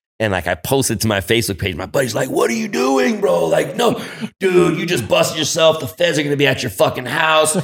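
Talking at a fairly quick pace, a man with an American accent uses a fairly high pitch, very wide pitch swings and vocal fry. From San Francisco, California. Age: 40s. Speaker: cannabis grower and brand owner. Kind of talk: casual chat. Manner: animated.

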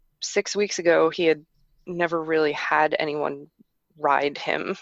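The voice, with an American accent, moves at a moderate pace in a dry, close sound with no echo. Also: woman. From New York metropolitan area, US. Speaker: horse traveller. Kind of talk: interview.

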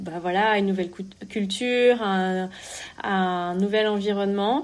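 A woman's medium-pitched, monotone voice with flat intonation and audible room echo. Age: 30s. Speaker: entrepreneur. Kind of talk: interview. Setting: remote call. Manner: halting.

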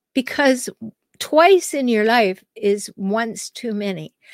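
On a very clean recording with a silent background and a dry, close sound with no echo, a woman speaks in a normal speaking voice at a fairly slow pace with ordinary pitch variation. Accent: Canadian. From Canada. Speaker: podcast host, relationship counselor. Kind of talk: solo advice monologue.

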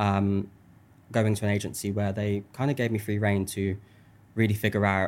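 The man speaks in a monotone, flat intonation. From Birmingham, England. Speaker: social media creator. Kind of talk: casual interview chat. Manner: open, reflective.

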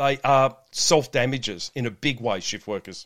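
A man's voice at a medium pitch and a moderate pace, on a very clean recording with a silent background. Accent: Australian. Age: 50s. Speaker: shift work health coach and police officer. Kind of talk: podcast interview.

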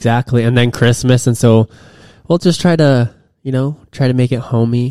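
With a plain, everyday voice, a man talks at a moderate pace and medium pitch, his intonation fairly even, in a dry, close sound with no echo. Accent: American. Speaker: podcast co-host, basketball player. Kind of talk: casual chat. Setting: home recording room.

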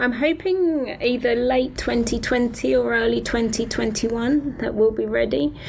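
Over noticeable background noise, someone with a British accent talks at a very slow pace with hardly any pauses. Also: woman. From Britain. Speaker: paediatric oncologist and haematologist. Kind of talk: interview explaining medical topic.

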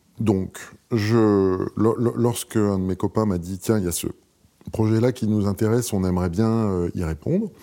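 A man speaks fairly slowly at a fairly low pitch. His pitch variation is ordinary. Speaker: architect. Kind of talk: casual chat. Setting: studio. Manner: calm.

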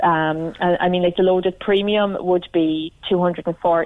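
A woman speaks with an Irish accent. Her intonation is fairly even. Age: 30s. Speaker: cancer survivor caller. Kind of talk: radio phone-in. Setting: phone call.

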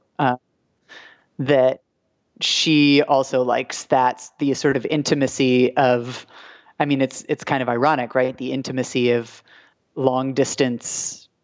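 Against a quiet background, a woman with an American accent and a very deep, low pitch talks at a fairly slow pace in monotone, flat intonation, with long, frequent pauses. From Maine, US. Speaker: radio producer and storyteller. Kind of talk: casual interview conversation. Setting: remote recording, reverby mic.

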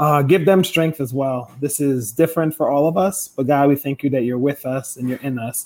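Talking at a moderate pace with hardly any pauses, a man uses a fairly high pitch, ordinary pitch variation and an unremarkable speaking voice. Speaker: prayer leader. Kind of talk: fervent prayer, spoken aloud.

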